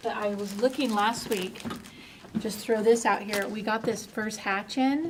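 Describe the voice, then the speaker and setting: Noticeable background noise is audible. The voice holds a fairly even intonation. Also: woman. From West Texas (Lubbock). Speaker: cross stitch shop staff. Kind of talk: casual chat.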